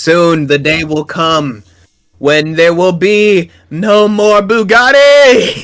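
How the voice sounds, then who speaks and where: Using a put-on character voice, a man speaks very slowly at a high pitch with lively intonation. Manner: ominous, trailing off.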